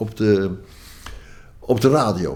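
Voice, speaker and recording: Here a man speaks at a medium pitch with very wide pitch swings. His tone is dark and mellow, with vocal fry. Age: 80s+. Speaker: banjo player and folk musician. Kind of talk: interview storytelling. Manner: halting, many fillers.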